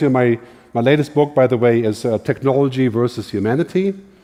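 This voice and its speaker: A man talks at a fairly quick pace with a German accent. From Germany. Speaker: futurist, keynote speaker. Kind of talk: keynote talk.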